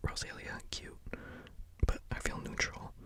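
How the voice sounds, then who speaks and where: Someone whispers at a moderate pace. There is noticeable background noise. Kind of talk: ASMR whispered ramble ranking video; casual talk to camera. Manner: whispered, casual, rambling.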